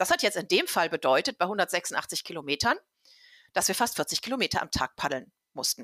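Very wide pitch swings and a bright, sharp tone come at a moderate pace. The recording is very clean and dry, with a silent background, a close sound and no echo. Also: woman, medium pitch for a woman. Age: 50s. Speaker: travel book author and researcher. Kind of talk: casual interview.

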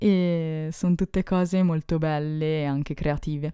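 A woman's very deep, low voice, dark and mellow, with fairly even intonation, dry and close with no echo, on a very clean recording with a silent background. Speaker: podcast host. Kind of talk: casual solo podcast monologue. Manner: calm, relaxing delivery.

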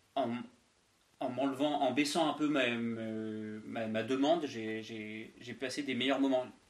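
Delivered at a very slow pace with fairly even intonation, the speech carries audible room echo. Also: man, medium pitch for a man. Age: 20s. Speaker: podcast co-host, flatmate. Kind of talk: casual chat. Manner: halting.

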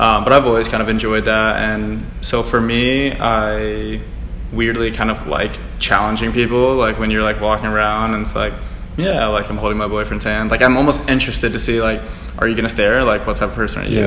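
Noticeable background noise runs under this recording. A man talks at a fairly quick pace with an American accent. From Charlotte, North Carolina. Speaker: podcast guest.

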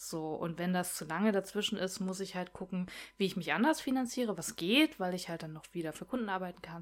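A woman with an unremarkable speaking voice talks at a medium pitch and a fairly quick pace with hardly any pauses. Her loudness swings widely, and her pitch varies in an ordinary way. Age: 30s. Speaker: comic artist. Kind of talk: casual chat.

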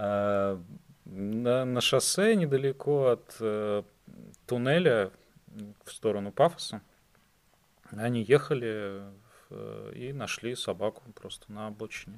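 This man speaks at a very slow pace, leaving long, frequent pauses. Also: medium pitch for a man, ordinary pitch variation, big swings in loudness. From Russia, St Petersburg. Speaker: podcast guest, expat. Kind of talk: casual interview.

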